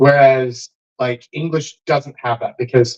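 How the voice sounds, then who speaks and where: A somewhat breathy man with an American accent speaks at a very slow pace, in a dry, close sound with no echo. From Texas. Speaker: dating coach and livestream host. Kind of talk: casual group chat on livestream. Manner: animated.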